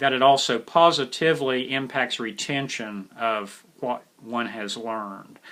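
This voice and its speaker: A man with an American accent and a bright, sharp tone, medium in pitch, with ordinary pitch variation. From West Virginia. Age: 60s. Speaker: instructor, military police veteran. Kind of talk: lecture. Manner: casual, conversational with fillers.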